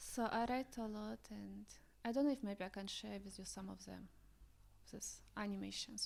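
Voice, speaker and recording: A woman speaks at a moderate pace with a Russian accent, her loudness swinging widely. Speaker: visionary artist. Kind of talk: casual chat.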